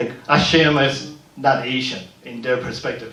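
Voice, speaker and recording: A man with a fairly high voice and ordinary pitch variation speaks amid noticeable background noise and audible room echo. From Panama. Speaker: community leader and filmmaker. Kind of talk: panel discussion. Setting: museum panel event.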